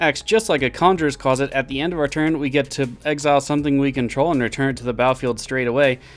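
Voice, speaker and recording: A man talks at a very fast pace with ordinary pitch variation while music plays in the background. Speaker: card game content creator. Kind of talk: tutorial.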